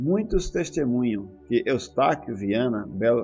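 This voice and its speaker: Over music in the background, a man with a medium pitch speaks at a fairly slow pace. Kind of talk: audiobook reading.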